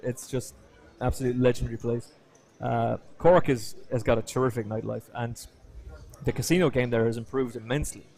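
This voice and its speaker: A man with an Irish accent, medium pitch, a dark, mellow tone, fairly even intonation, a fairly quick pace and long, frequent pauses. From Ireland, Kilkenny. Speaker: poker commentator. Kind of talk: casual chat. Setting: live stream from poker room.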